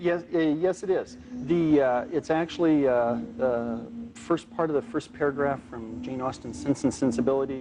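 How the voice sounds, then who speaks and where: A man's fairly high voice at a moderate pace, very wide pitch swings, hardly any pauses and music in the background. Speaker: cognitive neuroscience professor. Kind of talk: expert explanation in a TV documentary.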